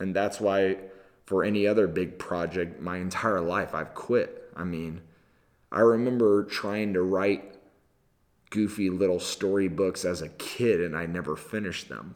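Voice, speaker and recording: A man with an American accent speaks at a fairly slow pace in a very deep, low pitch, his intonation fairly even. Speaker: video podcaster and storyteller. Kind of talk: casual solo video podcast. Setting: video camera, solo recording. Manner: conversational, reflective.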